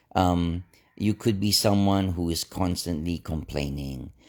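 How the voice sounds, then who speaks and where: A man's relaxed tone at a fairly slow pace. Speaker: inspirational vlogger. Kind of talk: casual motivational talk. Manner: relaxed, low-key.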